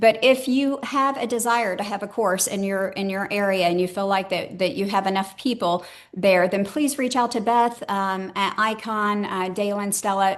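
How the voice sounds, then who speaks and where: Her pitch medium and varying in an ordinary way, a woman speaks with hardly any pauses. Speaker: enterprise transformation consultant. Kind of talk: webinar presentation. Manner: fast.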